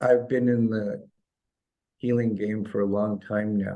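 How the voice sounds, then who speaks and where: A man's fairly low voice, dark and mellow in tone, with fairly even intonation. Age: 60s. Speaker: chiropractor and holistic healer. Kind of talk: interview.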